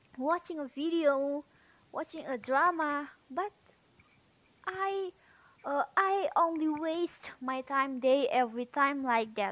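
High-pitched, a woman speaks at a very slow pace. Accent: Indonesian. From Indonesia, North Sumatra. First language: Indonesian. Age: 18. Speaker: university student. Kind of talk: casual monologue, speaking practice. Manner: halting.

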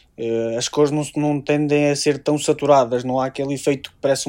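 A man with a dark, mellow tone speaks at a medium pitch and a very fast pace. His intonation is monotone and flat, over a quiet background. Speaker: tech writer. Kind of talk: casual chat.

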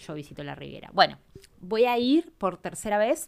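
A woman with a Rioplatense accent talks at a moderate pace in an animated tone. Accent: Argentine Rioplatense Spanish. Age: 30s. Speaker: podcast host and travel advisor. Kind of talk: casual solo podcast talk. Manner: halting, many fillers.

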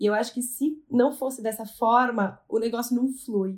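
With fairly even intonation, a woman keeps to a moderate pace. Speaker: family business executive. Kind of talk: podcast interview.

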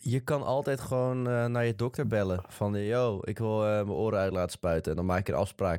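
A man with a normal speaking voice talks at a fairly quick pace with hardly any pauses. His pitch is fairly low with ordinary variation, and his loudness stays very even. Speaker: podcast co-host. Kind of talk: casual chat.

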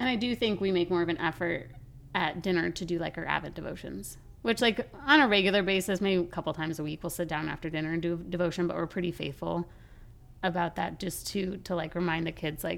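With an American accent, a woman speaks in a plain, everyday voice at a fairly quick pace, her fairly low pitch showing ordinary variation. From Colorado. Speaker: podcast co-host. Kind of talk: casual chat.

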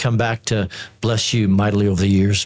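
A somewhat breathy man speaks at a moderate pace. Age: 50s. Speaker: theology professor. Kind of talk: panel discussion.

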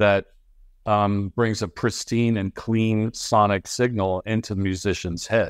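In a dry, close sound with no echo, a man with an American accent and an unremarkable speaking voice talks at a fairly low pitch with fairly even intonation. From Ohio, US. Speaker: marketing executive. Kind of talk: interview. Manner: frequent fillers (um, uh).

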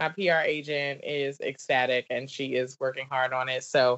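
In a Southern US accent, the words come out at a fairly slow pace. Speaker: business coach and wine entertainer. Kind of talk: casual interview chat.

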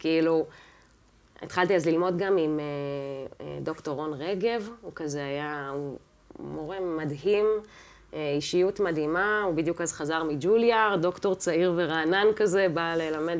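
A woman speaks at a fairly slow pace in a fairly low pitch, with ordinary pitch variation and an ordinary speaking voice. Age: 30s. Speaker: jazz and classical pianist. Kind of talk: casual interview chat.

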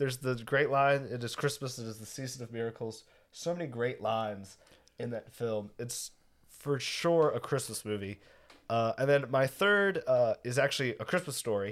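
In a very clean recording with a silent background, a man with an ordinary speaking voice talks at a moderate pace at medium pitch, with ordinary pitch variation and big swings in loudness. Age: young. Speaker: podcast co-host. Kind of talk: casual chat.

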